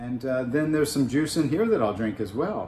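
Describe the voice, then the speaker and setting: Intonation here is lively. The tone is dark and mellow, and somewhat breathy. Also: man. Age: 60s. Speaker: fitness enthusiast. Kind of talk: casual chat.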